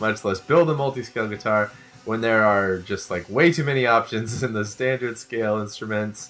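Delivered at a moderate pace, a normal speaking voice carries ordinary pitch variation. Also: man, medium pitch for a man. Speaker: podcast host. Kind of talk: casual chat.

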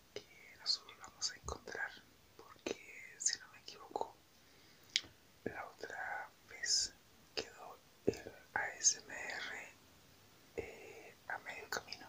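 Whispering at a very slow pace with long, frequent pauses over noticeable background noise. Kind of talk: ASMR whisper talk. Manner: whispered; soft-spoken.

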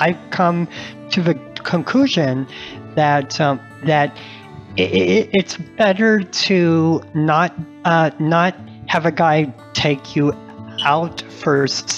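Over music in the background, a man with a fairly high pitch speaks at a very slow pace with long, frequent pauses, lively intonation and very even loudness. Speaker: author and journalist. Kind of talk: podcast interview answer. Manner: giggly, child-like laughter; hesitant, repeats syllables.

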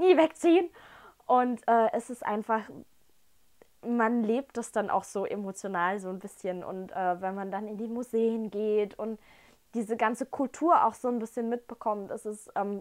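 Against a quiet background, a woman speaks at a fairly slow pace with big swings in loudness. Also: ordinary pitch variation. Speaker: whisky tasting host. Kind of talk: casual vlog chat. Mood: enthusiastic, warm. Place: home room. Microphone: camera far.

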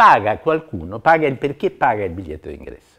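Over a quiet background, a man's voice shows vocal fry and very wide pitch swings. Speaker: interviewee. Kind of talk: interview answer. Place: home room.

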